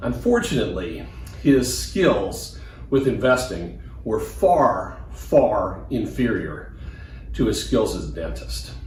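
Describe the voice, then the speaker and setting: A man speaks at a very slow pace with an American accent. Room echo is audible. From US Midwest, Des Moines, Iowa. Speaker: financial advisor. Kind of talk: personal testimony.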